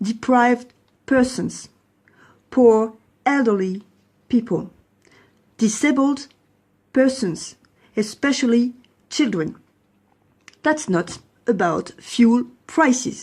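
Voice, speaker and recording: A woman with a French accent speaks at a very slow pace and a high pitch, her loudness very even and her pauses long and frequent. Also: ordinary pitch variation. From France. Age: 40s. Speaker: lawyer and protester. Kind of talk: testimony.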